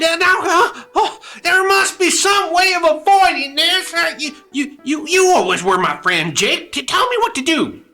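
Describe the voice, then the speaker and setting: At a moderate pace and with hardly any pauses, a put-on character voice speaks in an extremely high pitch. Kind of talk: radio drama. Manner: stammering, fearful.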